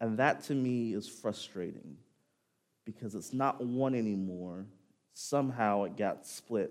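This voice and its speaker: A man's plain, everyday voice at a fairly slow pace, with ordinary pitch variation. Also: medium pitch for a man. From El Dorado, Arkansas, US South. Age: 30s. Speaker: guest preacher. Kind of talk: sermon. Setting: church.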